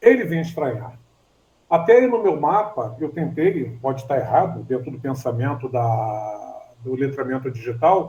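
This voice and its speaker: Somewhat breathy with a dark, mellow tone, a man speaks at a medium pitch and a fairly slow pace. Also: ordinary pitch variation. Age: 60s. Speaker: student in an online class. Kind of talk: class discussion. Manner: halting.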